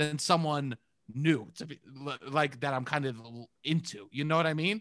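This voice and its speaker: With a strong New York accent, a man speaks in a bright, sharp tone. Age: 30s. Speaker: improv performer and podcaster. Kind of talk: casual chat.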